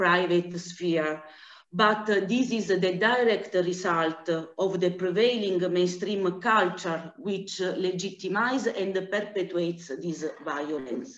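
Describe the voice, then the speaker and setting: A woman with an Italian accent at medium pitch, very slow pace and ordinary pitch variation, with audible room echo. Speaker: anti-trafficking director. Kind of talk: conference presentation. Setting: video call. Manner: halting.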